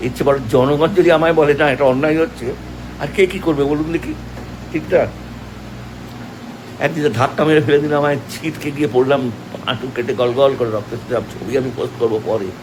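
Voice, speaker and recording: Noticeable background noise fills the recording. Through it, a man talks in a fairly high voice with ordinary pitch variation. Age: 70s. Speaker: actor. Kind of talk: emotional Facebook live video.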